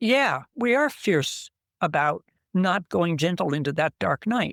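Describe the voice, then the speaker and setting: On a very clean recording with a silent background and a dry, close sound with no echo, a woman talks at a fairly slow pace with a fairly low pitch, very wide pitch swings and very even loudness. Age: 80s+. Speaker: ocean cleanup volunteer diver. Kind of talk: radio interview.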